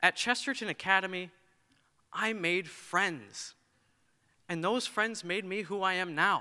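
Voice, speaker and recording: Over a quiet background, a man uses a raised, projected voice with ordinary pitch variation. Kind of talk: prepared speech. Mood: earnest, reflective. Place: hall. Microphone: podium.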